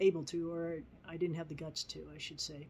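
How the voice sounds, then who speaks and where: A woman speaks at a moderate pace with a fairly low pitch. She has a plain, everyday voice. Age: 60s. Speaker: vlogger. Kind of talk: personal testimony.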